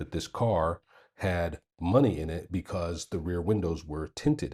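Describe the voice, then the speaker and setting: A man with an American accent speaks in a somewhat breathy voice with fairly even intonation. The recording is very clean, with a silent background. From United States. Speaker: vlogger. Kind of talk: casual storytelling. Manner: hesitant, many fillers.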